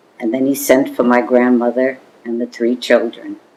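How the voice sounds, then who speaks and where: With an American accent, a woman speaks at a very deep, low pitch. Noticeable background noise runs under her voice. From New York City, the Bronx. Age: 80s+. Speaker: oral history interviewee. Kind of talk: oral history interview. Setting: home apartment. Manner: halting.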